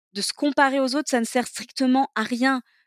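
The sound is dry and close, with no echo at all. Delivery comes at a moderate pace over a very clean, silent background. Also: woman. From southeastern France, Toulon area. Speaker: entrepreneur, cancer survivor. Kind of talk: interview testimony.

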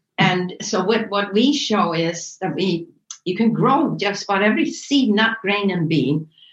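Fairly slow, lively intonation from a woman with a plain, everyday voice at medium pitch. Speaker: wellness center director. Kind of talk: interview.

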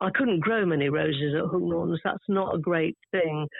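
Lively in intonation, a woman speaks in a southern English accent. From London, England. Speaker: garden writer. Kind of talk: casual chat. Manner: talkative.

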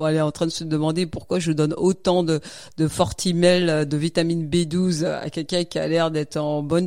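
A woman speaks with a fairly low pitch. Her intonation is fairly even and her pace moderate. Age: 40s. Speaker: night nurse and marathon runner. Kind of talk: casual interview. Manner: halting.

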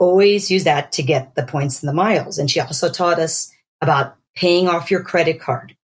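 Somewhat breathy and fairly low-pitched, a woman with an American accent speaks at a fairly quick pace with ordinary pitch variation. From Pennsylvania, US. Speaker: dermatologist. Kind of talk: casual chat.

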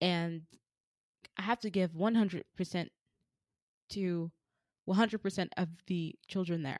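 The sound is dry and close, with no echo, as a woman speaks at a medium pitch with an animated tone. Her pace is fairly slow, with long, frequent pauses. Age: 20s. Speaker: podcast host. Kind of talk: casual solo monologue. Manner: animated, laughs often.

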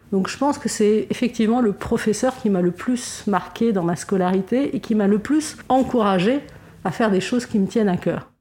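A fairly high-pitched woman's voice, moderately paced, its pitch varying in an ordinary way. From Lebanon. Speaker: fundraising agency director. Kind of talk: interview. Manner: halting, frequent word repetitions.

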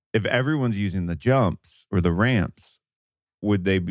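With a plain, everyday voice, a man talks at a moderate pace and a fairly low pitch with ordinary pitch variation, in a dry, close sound with no echo. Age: 30s. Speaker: podcast host. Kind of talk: casual chat. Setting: video call.

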